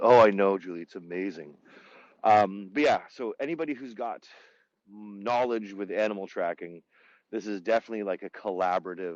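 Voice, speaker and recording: Pitch varies in an ordinary way at a fairly quick pace. The sound is dry and close, with no echo. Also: man. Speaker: tour guide. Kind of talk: live virtual tour. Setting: outdoors. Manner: fast; casual, many fillers.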